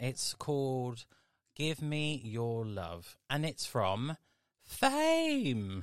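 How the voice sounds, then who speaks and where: A bubbly, upbeat tone on a very clean recording with a silent background. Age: 30s. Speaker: radio host. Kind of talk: radio DJ patter, introducing requests and songs. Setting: radio studio. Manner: bubbly, camp and effusive, with chatty exclamations; upbeat and warm, fond of cheery sign-offs.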